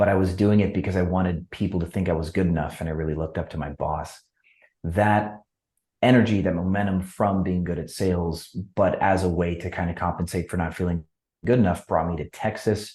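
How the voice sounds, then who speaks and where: Over a quiet background, a man with a very deep, low pitch and a dark, mellow tone talks at a fairly quick pace with fairly even intonation. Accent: American. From US Midwest, Wisconsin. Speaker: entrepreneur. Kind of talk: podcast interview.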